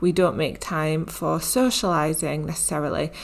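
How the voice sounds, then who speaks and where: In a British accent, a woman speaks with fairly even intonation. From UK. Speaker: health and mindset coach. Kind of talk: solo podcast monologue.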